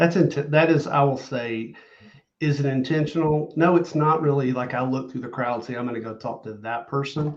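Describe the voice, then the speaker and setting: Delivered at a moderate pace, the speech shows big swings in loudness. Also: man, fairly high pitch for a man, ordinary pitch variation. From US South. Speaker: loan officer and social media content creator. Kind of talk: podcast interview.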